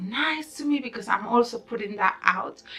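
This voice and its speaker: Noticeable background noise sits behind a woman who speaks at a moderate pace in an animated tone, with a fairly high pitch and ordinary pitch variation. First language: not English. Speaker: YouTuber, law of attraction vlogger. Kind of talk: casual vlog talk. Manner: rambling, unscripted.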